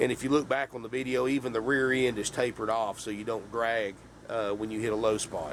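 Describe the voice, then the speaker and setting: In a Southern US accent, a man talks at a very fast pace with ordinary pitch variation. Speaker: RV salesman. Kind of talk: sales pitch. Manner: casual, folksy.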